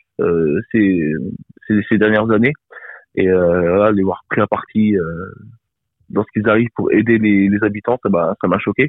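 Long, frequent pauses in a man's fairly slow speech, pitched fairly low with ordinary pitch variation. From France, Bourges (Cher). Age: 20s. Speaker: rapper and singer-songwriter. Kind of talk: interview. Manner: halting.

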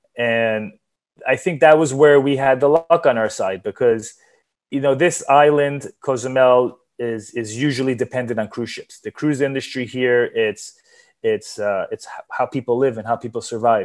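Speaking in a New York accent at a moderate pace, the voice shows ordinary pitch variation and big swings in loudness. The background is quiet. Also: man. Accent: New York American English. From US Northeast, New York. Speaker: sports event organizer and entrepreneur. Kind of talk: interview.

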